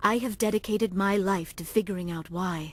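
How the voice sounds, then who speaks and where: Using a put-on character voice, a female-sounding speaker growls at a medium pitch and a fairly quick pace. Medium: video game. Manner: formal, avoids contractions.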